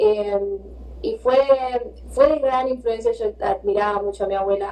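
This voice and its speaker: There is noticeable background noise. Over it, a woman speaks in a Rioplatense accent. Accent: Rioplatense Spanish (Argentine). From Argentina, Buenos Aires. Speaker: visual artist. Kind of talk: interview.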